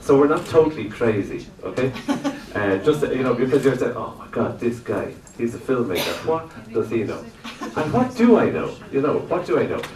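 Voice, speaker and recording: Through noticeable background noise and audible room echo, a man with an Irish accent speaks at a medium pitch with lively intonation. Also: moderate pace. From Ireland. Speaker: lecturer and animator. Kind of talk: workshop lecture. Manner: loud; halting, many fillers. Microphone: no microphone.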